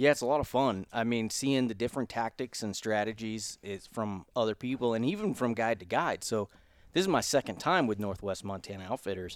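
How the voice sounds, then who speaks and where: A man with a normal speaking voice and an American accent, medium pitch, ordinary pitch variation and a fairly quick pace, in a dry, close recording with no echo and a silent, very clean background. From Florida panhandle (Pensacola). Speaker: hunting podcast host. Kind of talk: casual chat. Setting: hunting lodge.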